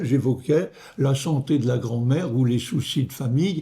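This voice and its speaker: Somewhat breathy, a man talks at a fairly slow pace in a fairly high voice. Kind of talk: homily-style meditation. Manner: hesitant, with fillers and repetitions.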